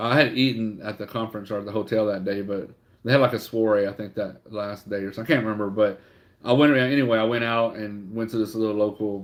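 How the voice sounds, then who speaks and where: A man with a Louisiana accent is speaking. His pitch is fairly low and his pace fairly quick. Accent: southern US (Louisiana). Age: 40s. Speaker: online reseller livestreamer. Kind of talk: casual livestream chat. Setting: livestream. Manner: halting, many fillers.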